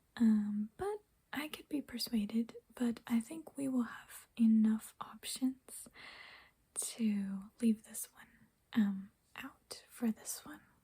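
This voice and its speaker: Soft-spoken and somewhat breathy, a woman is whispering at a very slow pace. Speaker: ASMR creator. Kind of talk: ASMR nail polish ramble to camera. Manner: soft-spoken, whispered, rambling.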